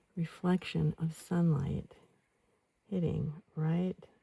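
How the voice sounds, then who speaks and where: A woman speaks softly in a fairly low pitch, with a dark, mellow and somewhat breathy tone. She sounds calm, and the sound is dry and close with no echo. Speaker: outdoor oil painter, ASMR creator. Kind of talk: ASMR painting narration. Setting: outdoors, mountain saddle with birdsong and breeze. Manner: soft-spoken, calm.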